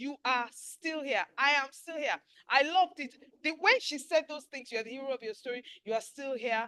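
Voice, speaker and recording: A raised, projected voice with a bright, sharp, animated tone moves at a moderate pace with ordinary pitch variation. Loudness swings widely, and the sound is dry and close with no echo. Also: woman, high pitch for a woman. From Nigeria. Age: 60s. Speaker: webinar host. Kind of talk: casual chat.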